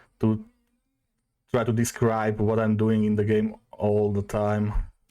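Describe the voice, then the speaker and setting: In a very clean recording with a silent background, a man with a Slovak accent speaks at a fairly low pitch in a dark, mellow tone. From Slovakia. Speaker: streamer. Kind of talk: casual chat. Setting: live stream. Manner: halting.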